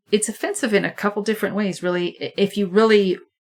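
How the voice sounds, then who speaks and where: Speaking fairly quickly, a woman with an American accent has a plain, everyday voice at medium pitch with fairly even intonation. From Vermont, US Northeast. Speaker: podcast co-host, vet tech. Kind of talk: casual chat.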